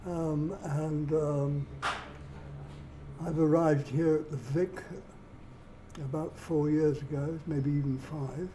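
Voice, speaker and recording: A very slow, flat monotone broken by long, frequent pauses, with audible room echo and noticeable background noise. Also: man, fairly high pitch for a man. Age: 80s+. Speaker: retired engineer and amateur musician. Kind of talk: documentary interview. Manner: halting.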